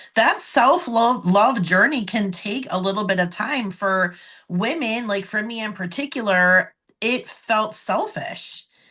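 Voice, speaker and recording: Her tone is bright and sharp, with lively intonation at a fairly high pitch for a woman. She speaks at a fairly slow pace against a quiet background. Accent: American. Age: 40s. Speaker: podcast host, NLP practitioner. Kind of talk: interview conversation.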